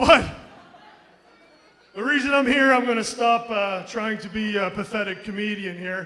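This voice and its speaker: A man's raised, projected voice, high-pitched for a man, at a moderate pace with long, frequent pauses, ordinary pitch variation and big swings in loudness, amid noticeable background noise and audible room echo. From Moncton, New Brunswick, Canada (Acadian). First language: French. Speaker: professional wrestler. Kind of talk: wrestling promo. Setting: ring with live audience.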